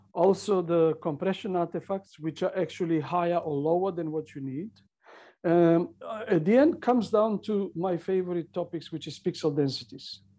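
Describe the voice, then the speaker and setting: In a Macedonian accent, a man speaks at a moderate pace with a high pitch and a dark, mellow tone. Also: ordinary pitch variation, quiet background. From North Macedonia. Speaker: CCTV engineer and author. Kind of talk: interview.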